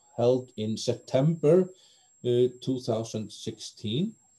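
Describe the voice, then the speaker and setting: A dark, mellow tone with an Icelandic accent comes through over a quiet background. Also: man. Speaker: BDSM community organizer; interviewee. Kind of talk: interview. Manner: halting. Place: home room. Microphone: video call.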